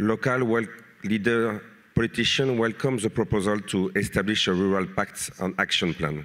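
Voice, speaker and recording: A man talks with a French accent and ordinary pitch variation. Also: very clean recording, silent background. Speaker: mayor and politician. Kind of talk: reading a prepared panel statement. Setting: conference panel. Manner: halting.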